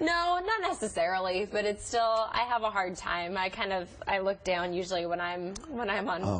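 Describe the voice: A woman at a medium pitch with ordinary pitch variation, very even loudness, a moderate pace and hardly any pauses, over noticeable background noise.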